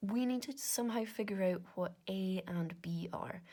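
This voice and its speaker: With a slight Scottish Highlands accent, a woman speaks at a medium pitch in a dark, mellow tone, somewhat breathy and with ordinary pitch variation. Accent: Inverness Scottish, mild. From Scotland, Inverness. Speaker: maths content creator. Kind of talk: casual maths working-through monologue. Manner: casual, chatty with fillers.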